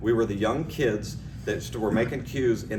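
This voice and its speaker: Amid noticeable background noise and audible room echo, a man talks at a fairly quick pace and medium pitch with ordinary pitch variation. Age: 60s. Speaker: cue maker. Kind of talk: award acceptance speech. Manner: casual, halting.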